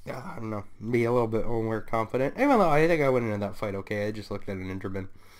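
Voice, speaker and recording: Quiet and very fast, a man talks at a medium pitch with ordinary pitch variation, with audible room echo. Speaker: gaming YouTuber. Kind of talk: gameplay commentary. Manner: hesitant, many fillers; often quiet.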